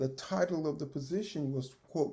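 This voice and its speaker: A man with a Texan accent speaks at a fairly slow pace in a dark, mellow tone that is somewhat breathy. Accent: Texan Southern US. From Texas. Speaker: retired school principal and educator. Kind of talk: oral history interview answer. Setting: video call.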